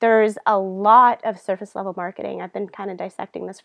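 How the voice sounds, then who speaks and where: Medium in pitch, a woman with an American accent talks at a fairly quick pace. Her intonation is monotone and flat. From US, Tampa Florida. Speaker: online marketing coach. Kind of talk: webinar presentation. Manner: very fast.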